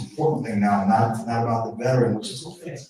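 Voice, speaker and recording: At a very fast pace, a man talks in a medium pitch with a somewhat breathy quality. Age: 60s. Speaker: event host, veterans counselor. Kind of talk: live event speech. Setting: live-streamed in-person event. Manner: halting, repetitive.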